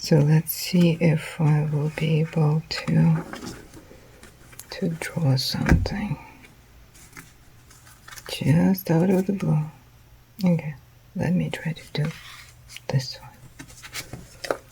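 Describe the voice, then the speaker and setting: Soft-spoken, the speaker moves at a very slow pace with long, frequent pauses amid noticeable background noise. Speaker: artist, sews. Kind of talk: casual unboxing and drawing talk.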